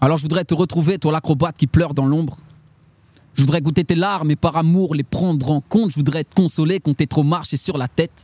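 A man's fairly high voice with a dark, mellow tone, fairly quick pace and fairly even intonation, in a dry, close sound with no echo. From France, Châlons-en-Champagne (Marne). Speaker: slam poet. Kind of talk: slam poetry performance; casual interview chat.

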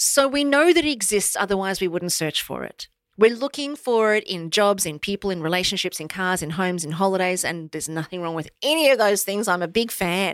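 A woman with an Australian accent talks at a fairly quick pace and a medium pitch, with lively intonation and hardly any pauses. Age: 50s. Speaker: motivational speaker. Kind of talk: interview. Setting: studio.

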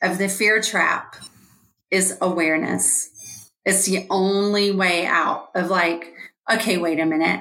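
In an American accent, a woman talks at a medium pitch, with audible echo in the room. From Georgia, US South. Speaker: life coach and author. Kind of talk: interview.

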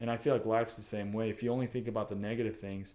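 A man speaks in a medium pitch with a dark, mellow tone. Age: 20s. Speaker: fitness coach and photographer. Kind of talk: casual chat. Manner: animated.

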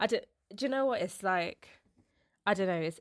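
A woman with a London accent is heard on a very clean recording with a silent background and a dry, close sound with no echo. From London, England. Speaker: cultural producer. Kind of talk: casual interview.

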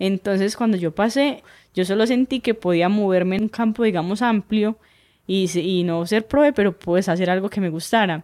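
An ordinary speaking voice from a woman, medium in pitch, at a moderate pace with very even loudness, on a very clean recording with a silent background. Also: ordinary pitch variation, dry, close sound with no echo. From Colombia, southeastern Antioquia (Urrao, Betulia). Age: 20s. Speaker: hiking guide. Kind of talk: casual interview conversation.

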